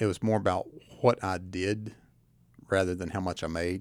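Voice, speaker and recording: Delivered at a moderate pace with fairly even intonation, the speech comes with an Appalachian accent on a very clean recording with a silent background. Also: man. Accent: Appalachian Southern US. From Southwest Virginia (Tazewell). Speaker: county administrator. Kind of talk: radio interview. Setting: radio studio.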